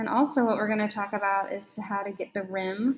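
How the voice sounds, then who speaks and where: The woman's voice is fairly high and somewhat breathy, delivered at a fairly slow pace with monotone, flat intonation. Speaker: art teacher. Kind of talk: tutorial.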